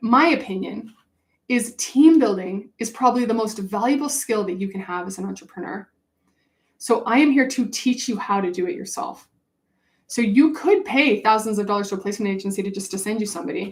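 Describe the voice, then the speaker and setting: A woman speaks fast-ish and fairly high, somewhat breathy, with an animated tone and lively intonation. Her loudness swings widely. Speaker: business coach. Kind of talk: webinar sales pitch.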